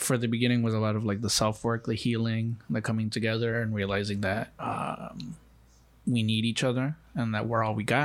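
Recorded very cleanly over a silent background, a man with an American accent and an unremarkable speaking voice talks at a moderate pace and medium pitch with fairly even intonation. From Mexico (Los Mochis, Sinaloa), raised in the US from age four. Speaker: immigration organizer and podcast co-host. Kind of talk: casual chat.

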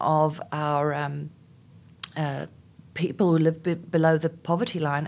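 Over a silent background on a very clean recording, a woman with a South African accent speaks in a very deep, low pitch with fairly even intonation. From South Africa, Afrikaans community. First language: Afrikaans. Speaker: HR executive. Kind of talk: interview. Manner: hesitant, many fillers.

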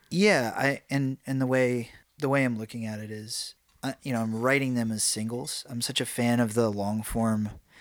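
Medium-pitched male speech, moderately paced, the intonation fairly even. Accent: American. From New York. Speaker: musician. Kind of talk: casual chat. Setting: home room. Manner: halting, filler-heavy.

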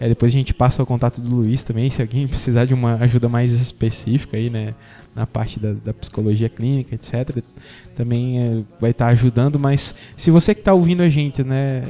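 Medium-pitched male speech at a fairly quick pace, fairly even in intonation, with a dry, close sound with no echo and music in the background. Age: 30s. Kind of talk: casual chat.

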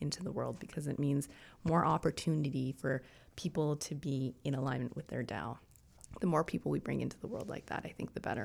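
A woman's very deep, low voice with vocal fry and ordinary pitch variation, at a fairly quick pace, in a very clean recording with a silent background. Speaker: traditional Chinese medicine practitioner. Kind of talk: casual chat. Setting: studio.

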